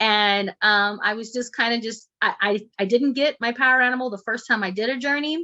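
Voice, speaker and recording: Against a quiet background, a woman with an El Paso accent speaks at a fairly high pitch with ordinary pitch variation. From Texas, El Paso. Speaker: shamanic healer and instructor. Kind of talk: online class. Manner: fast.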